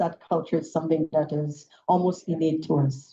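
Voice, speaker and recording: At a moderate pace, the speaker's tone comes across as dark and mellow. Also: woman. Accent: Saint Lucian. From Saint Lucia. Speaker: politician. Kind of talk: political speech.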